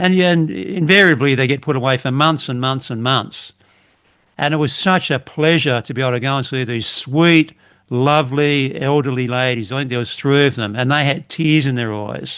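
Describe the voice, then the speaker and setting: At a medium pitch and moderate pace, a man speaks with an Australian accent and ordinary pitch variation against a quiet background. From Australia, western Sydney. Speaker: retired police officer. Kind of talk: casual chat.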